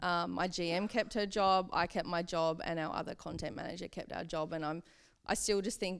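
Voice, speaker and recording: In a very clean recording with a silent background, a woman with an Australian accent speaks at a moderate pace, fairly low in pitch and fairly even in intonation. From Hobart, Tasmania, Australia. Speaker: social media and publicity manager. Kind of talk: interview answer. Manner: casual, conversational.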